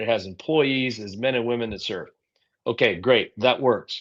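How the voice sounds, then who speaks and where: A man talks in a normal speaking voice at a medium pitch. His pace is moderate, and the background is quiet. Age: 60s. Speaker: political candidate. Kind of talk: interview.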